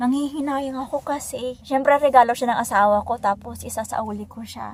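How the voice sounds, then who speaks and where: A woman's high-pitched voice at a moderate pace with fairly even intonation. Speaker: vlogger. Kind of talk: casual vlog.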